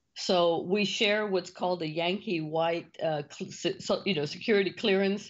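Speaking at a moderate pace with hardly any pauses, a woman keeps a fairly even intonation. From US South, Rio Grande Valley, Texas. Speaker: business consultant and CEO. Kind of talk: interview. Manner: high-energy.

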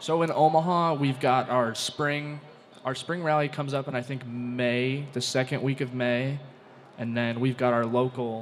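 Over noticeable background noise, a man of medium pitch talks at a moderate pace with fairly even intonation. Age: young. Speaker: soapbox derby racer. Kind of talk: casual interview.

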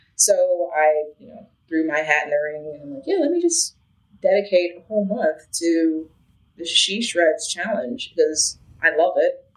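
With an American accent, a woman speaks at a moderate pace and a fairly low pitch. Her pitch varies in an ordinary way, and she takes long, frequent pauses. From Chicago, Illinois. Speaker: multi-instrumentalist and UX designer. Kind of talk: interview conversation.

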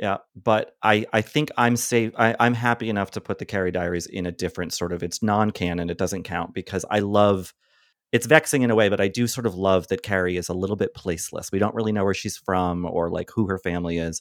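In a very clean, silent recording, a man with an American accent and an unremarkable speaking voice talks at a fairly quick, fairly low pitch with ordinary pitch variation and hardly any pauses. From US Northeast, Boston. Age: 40s. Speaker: film critic and podcast host. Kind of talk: casual chat.

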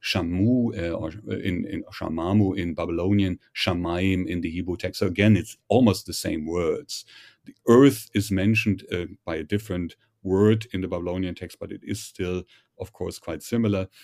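A man with a German accent speaks at a very deep, low pitch and a moderate pace. His intonation is fairly even, with big swings in loudness. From Germany. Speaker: professor. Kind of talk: interview. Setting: remote call. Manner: hesitant, frequent fillers.

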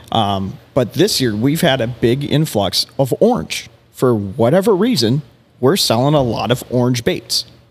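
Over music in the background, a man of medium pitch with an American accent talks at a fairly slow pace, his intonation lively and his loudness very even. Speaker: fishing bait company executive. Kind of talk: casual chat.

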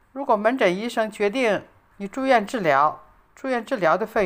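Vocal fry runs through this woman's medium-pitched voice. She keeps a moderate pace, with big swings in loudness. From China. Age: 80s+. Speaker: retiree sharing life abroad. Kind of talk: reading aloud. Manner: formal.

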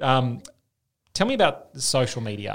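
The voice has vocal fry and an Australian accent. The recording is very clean, with a silent background. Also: man. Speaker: podcast host and public health doctor. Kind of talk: podcast interview.

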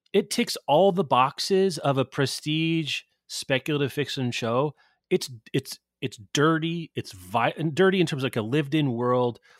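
On a very clean recording with a silent background, a man with an ordinary speaking voice talks at a moderate pace, his fairly high pitch moving in lively intonation. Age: 40s. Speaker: book industry professional. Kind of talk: casual chat.

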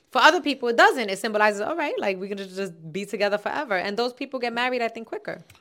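A woman with a New York accent speaks very fast in a fairly high, bright, sharp voice. Her intonation is lively and her loudness swings widely. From Bronx, New York City (Castle Hill). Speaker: comedian and former podcast co-host. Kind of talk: casual chat.

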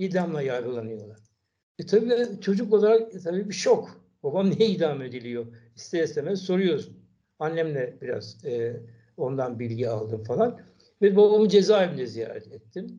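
A man's high-pitched voice with a dark, mellow tone moves through very wide pitch swings. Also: moderate pace. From Istanbul, Turkey. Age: 70s. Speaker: son of a murdered Kurdish intellectual. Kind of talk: interview. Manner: halting.

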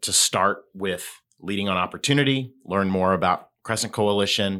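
Very deep, low male voice with a bright, sharp tone, moderate pace, and a very clean recording against a silent background. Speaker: foundation representative. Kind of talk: casual interview.

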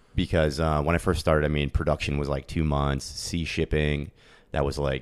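In an American accent, a man talks at a fairly quick clip with a very deep, low pitch, vocal fry and a monotone, flat delivery. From US Northeast (Pennsylvania). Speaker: e-commerce entrepreneur. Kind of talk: interview. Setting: in person. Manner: fast.

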